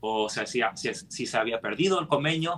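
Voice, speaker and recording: A man speaks at a fairly slow pace. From United States. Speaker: scripture study teacher. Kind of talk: scripture study discussion. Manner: halting, frequent self-corrections.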